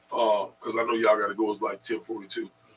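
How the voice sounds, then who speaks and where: A man's voice over noticeable background noise. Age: 60s. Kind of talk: radio panel discussion.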